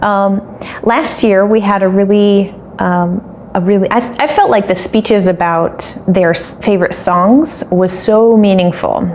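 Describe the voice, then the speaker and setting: With an American accent, a woman speaks at a fairly slow pace and medium pitch, her pitch varying in an ordinary way and her loudness very even, over noticeable background noise. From United States (Maryland, Colorado, Ohio, Illinois). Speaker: English teacher. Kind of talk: casual Q&A video for students. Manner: animated, enthusiastic.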